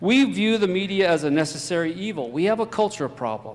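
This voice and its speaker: Here a man speaks at a fairly quick pace. His pitch varies in an ordinary way. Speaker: fire chief and emergency management official. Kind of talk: conference talk. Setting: stage with audience. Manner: fast.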